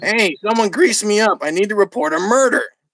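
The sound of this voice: A put-on character voice with a whiny, fairly high pitch. The pace is fairly quick.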